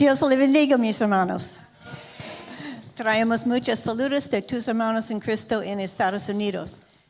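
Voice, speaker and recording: In an English accent, a woman speaks at a fairly high pitch with ordinary pitch variation. Her pace is fairly slow, and audible room echo surrounds her voice. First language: English (speaking Spanish). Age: old. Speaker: visiting speaker's wife. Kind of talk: church greeting. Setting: church.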